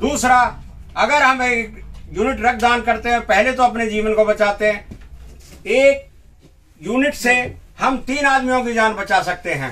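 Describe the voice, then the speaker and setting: A man with an extremely high voice speaks in a raised, projected voice with ordinary pitch variation and long, frequent pauses. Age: 60s. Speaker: blood donor. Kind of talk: news interview.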